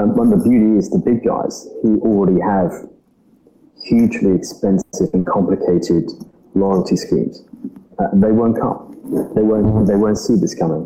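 Medium-paced speech from a man, clear background noise underneath. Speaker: startup CEO. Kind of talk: casual interview.

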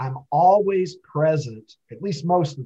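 Here a man speaks at a fairly slow pace with ordinary pitch variation. His voice is somewhat breathy, with a dark, mellow tone. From Kentucky. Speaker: social media personality. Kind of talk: casual interview.

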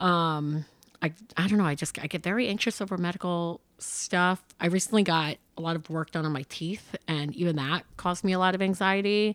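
This is a plain, everyday voice with an American accent. It moves at a fairly quick pace with ordinary pitch variation. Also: woman, fairly low pitch for a woman. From upstate New York (Hudson Valley). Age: 20s. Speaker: comedian. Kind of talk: casual chat. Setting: in person at host's place.

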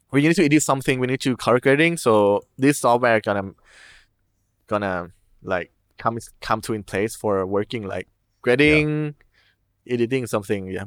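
A man with a Thai accent at a medium pitch and moderate pace, ordinary pitch variation, a dry, close sound with no echo, and a very clean recording with a silent background. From Thailand. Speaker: furry and film videographer. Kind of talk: casual interview chat. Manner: halting, non-fluent English.

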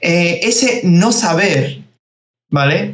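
There is audible echo from the room. Through it, a man talks very slowly. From Spain (from age 11), born in Georgia. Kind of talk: interview.

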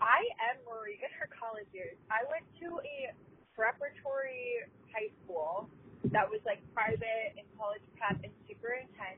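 In a plain, everyday voice, the speaker talks at a moderate pace with lively intonation and big swings in loudness. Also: woman, fairly high pitch for a woman. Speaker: listener caller, college student. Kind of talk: voicemail message. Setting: phone call.

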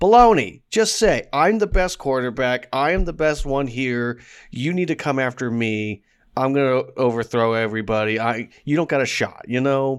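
In a very clean recording with a silent background, a man with an unremarkable speaking voice talks at medium pitch and moderate pace with lively intonation. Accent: American. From US Northeast, Pittsburgh area. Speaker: podcast co-host. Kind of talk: casual chat.

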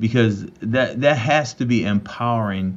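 A normal speaking voice from a man, fairly low in pitch, with fairly even intonation. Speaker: podcast co-host. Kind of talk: interview.

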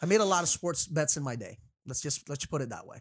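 With lively intonation and an animated tone, a man speaks in a dry, close recording with no echo. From Florida. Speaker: sports podcast co-host. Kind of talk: casual sports debate.

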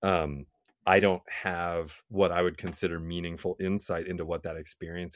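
A man speaks at a moderate pace in an American accent, with a very deep, low pitch and a monotone, flat intonation. His loudness swings widely against a quiet background. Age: 40s. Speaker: musician. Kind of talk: interview conversation.

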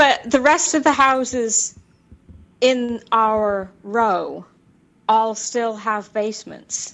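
A woman with an American accent speaks at a very slow pace. Her pitch is fairly high, with ordinary pitch variation. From Tacoma, Washington State, US. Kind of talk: casual chat.

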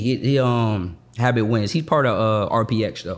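At a moderate pace, a man with a medium-pitched voice talks in an ordinary speaking voice with ordinary pitch variation. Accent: American. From Boston, Massachusetts. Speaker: credit and business funding coach. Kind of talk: casual interview.

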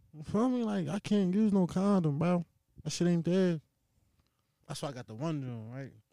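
A man with a high pitch and a dark, mellow tone speaks at a moderate pace with lively intonation and big swings in loudness. He takes long, frequent pauses, and the sound is dry and close with no echo. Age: 20s. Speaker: construction worker, host's younger brother. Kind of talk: casual chat. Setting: home basement studio. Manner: animated.

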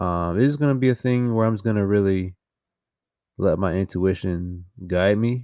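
With a dark, mellow tone, a man speaks at a fairly slow pace in a very clean recording with a silent background. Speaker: podcast host. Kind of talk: solo intro monologue, casual. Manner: monotone; dry humor, casual.

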